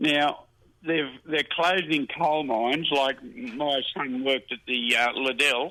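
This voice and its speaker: At a very slow pace, a man talks in a fairly high voice with an Australian accent. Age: 80s+. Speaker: caller, retired motor trade worker. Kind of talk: casual chat.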